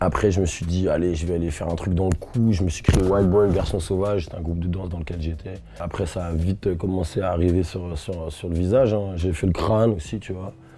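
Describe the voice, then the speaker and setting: Speaking fairly quickly and with fairly even intonation, a man with a very deep, low pitch is heard against noticeable background noise. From Rennes, Brittany, France. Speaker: rapper. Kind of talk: interview answer. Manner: casual, warm.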